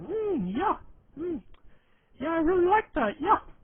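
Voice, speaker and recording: At a moderate pace, a put-on character voice speaks with an extremely high pitch. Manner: dumb, mumbling.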